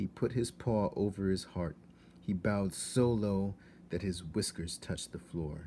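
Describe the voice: This plain reading aloud has ordinary pitch variation.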